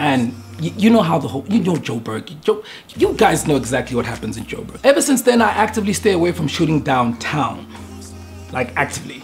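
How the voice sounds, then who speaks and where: A man's voice with faint music in the background. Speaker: photographer vlogger. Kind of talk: casual vlog chat. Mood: earnest, reflective. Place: studio.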